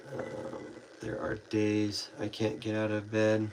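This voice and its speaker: Very slowly and at a fairly low pitch, a man talks over noticeable background noise. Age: 20s. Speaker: livestreamer with chronic illness. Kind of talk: casual chat. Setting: live stream at home. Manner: halting.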